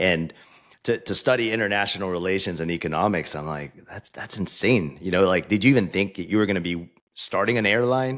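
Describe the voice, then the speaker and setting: The speech moves at a fairly quick pace in a normal speaking voice. Its pitch variation is ordinary. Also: man, fairly low pitch for a man. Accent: American. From US. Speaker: podcast host. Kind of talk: interview.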